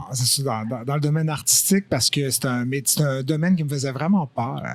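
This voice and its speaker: A man with a Quebec accent and a fairly high pitch, over noticeable background noise. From Quebec, Lac-Saint-Jean. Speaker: singer. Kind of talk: podcast interview answer.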